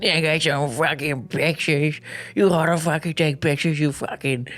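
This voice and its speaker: Over light background noise, a put-on character voice in a Massachusetts accent speaks at a middle pitch and a moderate pace. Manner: blunt, cursing.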